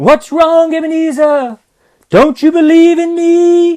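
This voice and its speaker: A man puts on a squeaky character voice at an extremely high pitch, speaking at a fairly slow pace. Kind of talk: ghost story drama. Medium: solo performance. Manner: solemn, deliberate.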